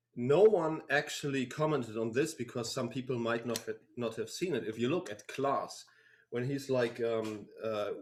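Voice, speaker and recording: A man at a medium pitch, with a German accent, ordinary pitch variation, and a moderate pace. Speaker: band member. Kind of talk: live stream Q&A. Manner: halting.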